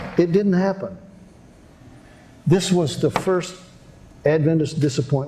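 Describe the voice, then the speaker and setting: A dark, mellow tone at a fairly slow pace, with long, frequent pauses, ordinary pitch variation and audible room echo. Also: man, fairly high pitch for a man. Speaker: prophecy seminar preacher. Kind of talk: sermon. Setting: seminar with audience. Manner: animated.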